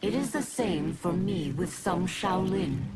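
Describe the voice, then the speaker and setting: A put-on character voice at a middle pitch and fairly slow pace, under loud background noise. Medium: video game.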